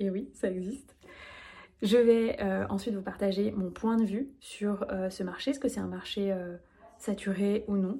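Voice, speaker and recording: A woman at a medium pitch, somewhat breathy and dark, mellow in tone, at a fairly slow pace with long, frequent pauses and fairly even intonation. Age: 30s. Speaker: business coach. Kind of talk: solo podcast monologue.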